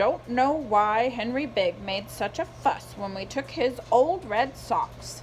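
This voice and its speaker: A put-on character voice, female-sounding and fairly high, at a fairly slow pace over clear background noise. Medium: read story. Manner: homespun, folksy.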